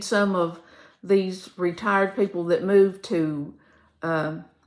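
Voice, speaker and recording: A woman speaks very slowly in a Kentucky accent. Her pitch is medium and her intonation fairly even. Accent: southern US, Kentucky. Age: 70s. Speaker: retired teacher, vlogger. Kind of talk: casual chat. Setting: home video, seated. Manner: hesitant with fillers.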